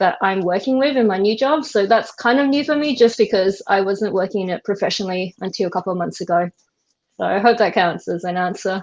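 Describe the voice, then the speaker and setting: A woman with an Australian accent, medium pitch, ordinary pitch variation and a very fast pace. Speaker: web developer. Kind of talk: casual chat.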